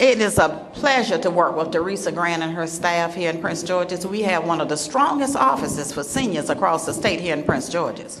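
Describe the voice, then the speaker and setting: A woman with a Southern US accent and a fairly low pitch talks at a fairly quick pace with lively intonation and hardly any pauses. Room echo is audible, and background noise is noticeable. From US South, South Carolina. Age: 70s. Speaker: state official for seniors. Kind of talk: public speech. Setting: luncheon event with audience. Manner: animated.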